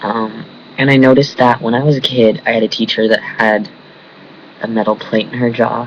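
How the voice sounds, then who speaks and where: Over noticeable background noise, a man talks at a fairly quick pace. His medium-pitched voice is monotone, with flat intonation. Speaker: vlogger. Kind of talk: casual vlog. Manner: speaks through teeth, mumbling.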